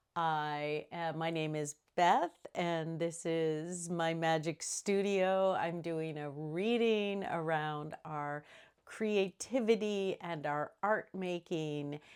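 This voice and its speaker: On a very clean recording with a silent background, a woman speaks at a fairly low pitch with fairly even intonation. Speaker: astrology and tarot reader. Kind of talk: solo video reading. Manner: slow; halting.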